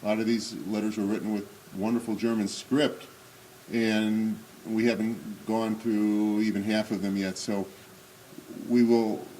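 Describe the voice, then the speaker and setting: A man speaks at a fairly low pitch in a monotone, flat way, at a fairly slow pace. Long, frequent pauses break up his speech, and the room echo is audible. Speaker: Holocaust remembrance speaker. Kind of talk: commemorative talk. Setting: synagogue hall with audience. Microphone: may be speaking without microphone.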